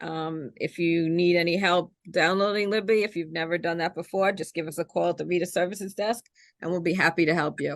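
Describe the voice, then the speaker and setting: Speaking at a fairly quick pace, a woman with a New York accent has a fairly low pitch. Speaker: librarian and podcast host. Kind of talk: casual interview chat. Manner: animated.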